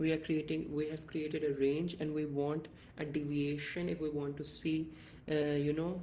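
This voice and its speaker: Amid audible room echo, a man with a fairly high voice speaks at a moderate pace in a monotone, flat intonation. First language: not English. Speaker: crypto trading analyst, YouTuber. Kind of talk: tutorial.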